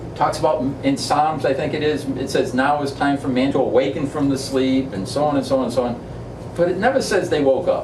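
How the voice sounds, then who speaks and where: A man with a New England accent talks at a fairly quick pace, his pitch fairly high and his intonation fairly even. Noticeable background noise and audible room echo fill the recording. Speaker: spiritual discussion leader, author. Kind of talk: group discussion, informal teaching. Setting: back room of an ice cream shop with small group.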